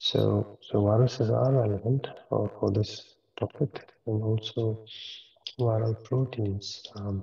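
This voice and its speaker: A soft-spoken man at a very slow pace. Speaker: professor. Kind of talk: lecture. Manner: hesitant, many fillers.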